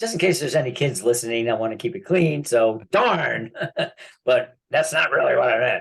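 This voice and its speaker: A man's fairly high-pitched voice at a moderate pace, with very wide pitch swings. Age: 70s. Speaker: land banking specialist. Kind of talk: casual chat.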